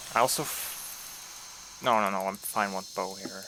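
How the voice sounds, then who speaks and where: Mumbling from a man with a bright, sharp tone. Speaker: video game speedrunner streamer. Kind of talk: live game commentary. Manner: casual.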